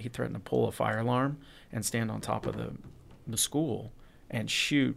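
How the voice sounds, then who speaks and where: The audio is very clean, the background silent. His delivery, a man's, keeps a moderate pace. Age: 40s. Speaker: podcast guest. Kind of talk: casual chat.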